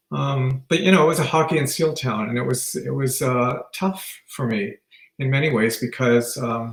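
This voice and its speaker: With a Canadian accent, a man talks at a moderate pace in a plain, everyday voice, medium in pitch and with ordinary pitch variation. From Northern Ontario, Canada (Sault Ste. Marie). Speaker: retired teacher. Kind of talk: interview.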